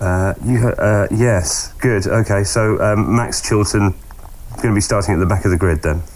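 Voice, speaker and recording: A normal speaking voice at a moderate pace, with ordinary pitch variation and very even loudness. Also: man, fairly low pitch for a man. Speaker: motorsport radio host. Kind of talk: casual interview.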